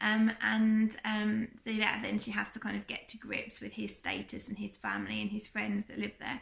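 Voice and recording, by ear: A woman with a medium-pitched, fairly bright yet croaky voice speaks at a moderate pace, showing vocal fry, a slightly husky edge and little pitch movement.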